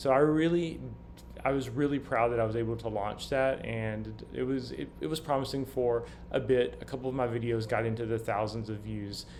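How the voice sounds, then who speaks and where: In a Southern US accent, a man talks at a fairly quick pace with audible room echo. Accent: faint Southern US. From US South. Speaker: vlogger. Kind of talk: casual monologue. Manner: halting, many fillers and restarts.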